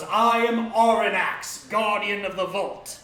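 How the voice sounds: A man's high-pitched, put-on character voice, monotone and flat, fairly slow, with a slight echo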